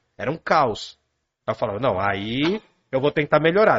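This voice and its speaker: Speaking at a fairly quick pace, a man sounds animated, with vocal fry in his voice. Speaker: philosophy teacher. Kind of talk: casual chat explaining philosophy.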